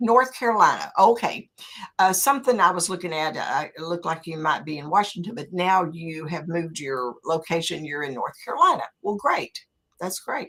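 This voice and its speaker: A woman's fairly low voice in a Southern accent, moderate in pace, with lively intonation and big swings in loudness. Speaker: interview show host. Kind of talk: interview.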